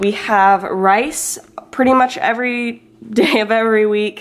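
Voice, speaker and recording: Light background noise sits under a woman's fairly even intonation. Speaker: lifestyle vlogger. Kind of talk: casual vlog chat. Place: kitchen. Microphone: phone near.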